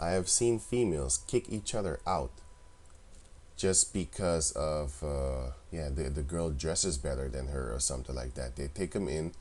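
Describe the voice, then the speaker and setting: Very deep, low male voice with a non-native accent, lively intonation and a moderate pace. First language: not English. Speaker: religious video commentator. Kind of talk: religious commentary monologue. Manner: casual, conversational.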